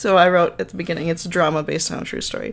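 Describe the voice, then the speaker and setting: A woman talks with an American accent. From Minnesota. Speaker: podcast host. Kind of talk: casual storytelling.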